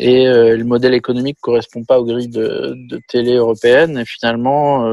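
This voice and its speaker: Speaking at a fairly quick pace, the man keeps a monotone, flat intonation. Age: 40s. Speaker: film and TV director. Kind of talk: casual interview. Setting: video call.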